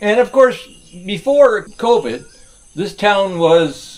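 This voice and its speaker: A man with an Ottawa Valley accent and very wide pitch swings. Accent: Canadian (Ottawa Valley). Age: 60s. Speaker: retired expat vlogger. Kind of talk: casual vlog monologue. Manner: halting, many fillers; relaxed, laid-back.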